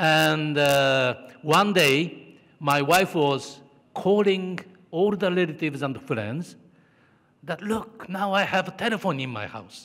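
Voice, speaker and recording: Very slow pace, long and frequent pauses, and lively intonation. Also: man. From Japan. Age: 50s. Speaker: corporate executive. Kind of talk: conference keynote. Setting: stage with audience.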